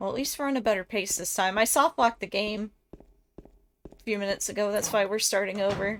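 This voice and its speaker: Speaking at a fairly quick pace, a woman has an Ohio accent. Her pitch is medium, with ordinary pitch variation. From Ohio, US Midwest. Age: 30s. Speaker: game streamer. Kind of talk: casual chat while gaming.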